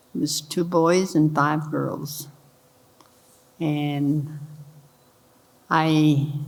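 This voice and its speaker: Audible room echo surrounds a woman's very deep, low voice. She speaks with monotone, flat intonation. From Kentucky. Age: 90s. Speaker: elder panelist, retired base worker. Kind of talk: personal introduction on panel. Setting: church hall with audience.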